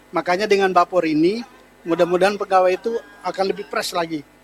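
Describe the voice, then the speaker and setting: Against noticeable background noise, a man speaks at high pitch in a dry, close sound with no echo. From East Kalimantan, Samarinda. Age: 50s. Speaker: sports association official. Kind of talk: interview. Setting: expo stand podcast.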